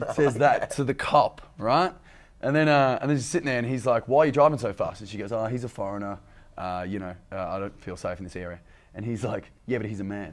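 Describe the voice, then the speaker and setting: Very fast and lively, a man speaks at a medium pitch with an Australian accent. His loudness swings widely on a very clean recording with a silent background. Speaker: comedian. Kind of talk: casual chat.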